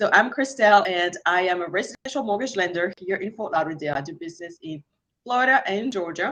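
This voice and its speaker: A woman with a French accent speaks at a very fast pace. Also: medium pitch for a woman, lively intonation, big swings in loudness. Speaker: mortgage lender and energy healer. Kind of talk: online class guest introduction.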